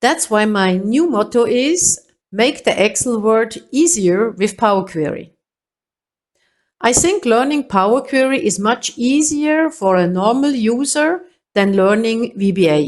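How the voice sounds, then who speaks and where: A woman's fairly high voice with a German accent, fairly slow in pace, with very wide pitch swings. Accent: non-native English, German-speaking. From Switzerland. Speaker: Excel trainer. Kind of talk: tutorial.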